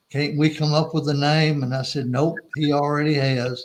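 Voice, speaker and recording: At a fairly slow pace, a man talks in a monotone with flat intonation. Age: 70s. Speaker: former missions agency staffer. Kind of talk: interview.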